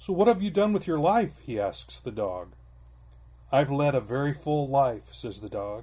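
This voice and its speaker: A man talks in a somewhat breathy voice. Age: 60s. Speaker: podcast co-host. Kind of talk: casual chat; joke telling.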